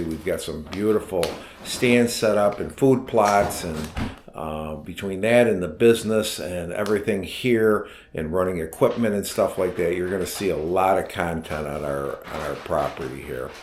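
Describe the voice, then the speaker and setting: Audible room echo surrounds a man with an American accent whose very deep, low pitch has ordinary variation as he speaks at a moderate pace. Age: 60s. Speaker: vlogger and equipment business owner. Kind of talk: casual vlog introduction. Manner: halting, many fillers.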